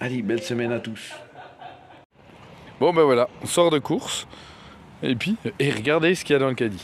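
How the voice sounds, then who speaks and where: Long, frequent pauses break up a man's speech against noticeable background noise. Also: medium pitch for a man, moderate pace. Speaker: van life vlogger. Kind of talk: casual vlog. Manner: animated.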